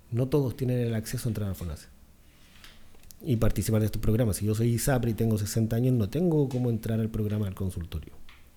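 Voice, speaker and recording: Talking at a very fast pace in a Chilean accent, a man has a medium-pitched, somewhat breathy voice with a dark, mellow tone. His pitch varies in an ordinary way. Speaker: dentist. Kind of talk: podcast interview.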